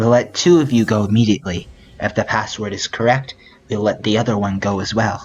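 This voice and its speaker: A man uses a put-on character voice at a medium pitch. He delivers it at a fairly quick pace. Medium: game stream. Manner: terse, flat.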